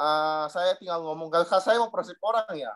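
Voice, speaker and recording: At a moderate pace, a man speaks with an eastern Indonesian accent. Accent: eastern Indonesian accent, noticeable. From Southeast Maluku, eastern Indonesia (Dobo). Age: 30s. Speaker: insurance agent sharing experience. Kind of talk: personal testimony to a group.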